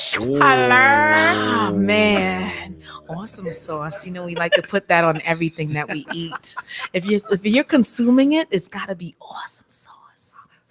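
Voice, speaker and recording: A woman at medium pitch, animated in tone, with very wide pitch swings, big jumps in loudness, and music in the background. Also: fairly slow pace. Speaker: radio show host. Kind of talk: casual chat.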